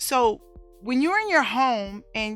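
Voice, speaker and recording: Loud and lively in intonation, a woman speaks with a bright, sharp tone. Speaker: domestic violence survivor and speaker. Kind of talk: testimony. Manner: raises voice when excited.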